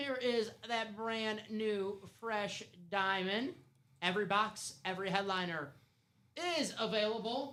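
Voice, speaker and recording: Raised and projected, a man's voice carries an animated tone with ordinary pitch variation. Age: 30s. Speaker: live sports card break host. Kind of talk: live stream sales chat.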